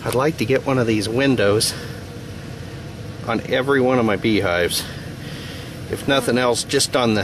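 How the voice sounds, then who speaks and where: Noticeable background noise sits under a man speaking at a moderate pace with ordinary pitch variation. His loudness is very even, and the sound is dry with no echo. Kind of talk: casual tutorial. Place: open country. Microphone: phone near.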